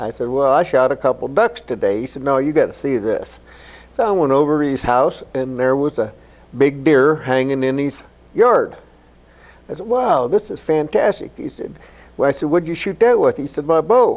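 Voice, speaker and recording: A man with an American accent and an ordinary speaking voice, fairly high in pitch, with lively intonation at a moderate pace. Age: 60s. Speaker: archer and Vietnam veteran. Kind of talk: interview.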